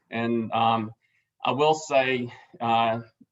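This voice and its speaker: This man talks with an Alabama accent at a medium pitch. His intonation stays monotone and flat. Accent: Southern US (Alabama). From South Alabama. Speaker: board chairman. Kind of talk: meeting chair introduction. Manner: halting, many fillers.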